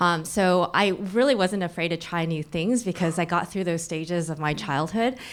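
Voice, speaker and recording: With a General American accent, a woman speaks at a moderate pace with hardly any pauses, in an ordinary speaking voice. Her pitch is fairly low with ordinary pitch variation. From US Midwest, Michigan, moved from Taiwan at five. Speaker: tech education outreach director. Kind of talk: panel discussion. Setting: stage with audience.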